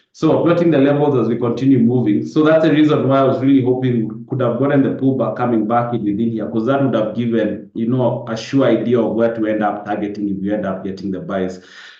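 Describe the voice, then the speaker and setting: A man at a very fast pace with ordinary pitch variation, audible room echo and noticeable background noise. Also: medium pitch for a man. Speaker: forex trader. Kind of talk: live webinar market analysis. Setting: live Zoom webinar.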